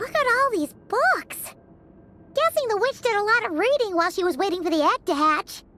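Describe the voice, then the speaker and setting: In a put-on character voice, a female-sounding speaker talks at an extremely high pitch and a fairly quick pace. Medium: video game. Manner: excitable, fast.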